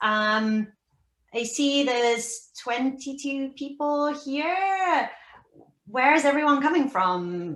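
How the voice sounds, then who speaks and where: A woman with a British accent, high-pitched and lively in intonation, at a very slow pace. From United Kingdom. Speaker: research scientist. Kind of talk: casual talk on a video call. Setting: video call.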